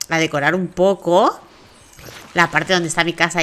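A woman speaks at a moderate pace, fairly low in pitch, with a bright, sharp tone.

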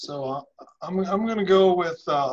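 A man with an American accent speaks in a high voice, using ordinary pitch variation. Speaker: webinar moderator. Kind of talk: moderating a webinar. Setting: video call.

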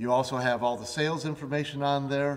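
The man talks at a fairly slow pace. His intonation stays fairly even. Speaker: facilities management expert co-host. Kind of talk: instructional tutorial. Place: studio.

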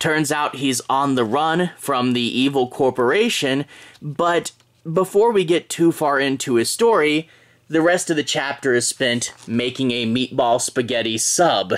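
In front of a quiet background, a man speaks at a fairly slow pace with ordinary pitch variation. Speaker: comic book reviewer. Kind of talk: casual review commentary. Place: home room.

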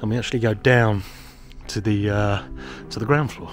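A man's voice comes through with a dry sound and no echo. Clear music plays in the background. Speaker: property seller giving a tour. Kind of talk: walking property tour commentary. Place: street. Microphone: phone near.

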